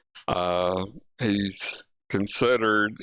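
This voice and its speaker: A man speaks with an Alabama accent. His pitch is fairly low, with ordinary variation. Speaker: podcast host. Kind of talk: casual podcast chat. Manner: halting, many fillers.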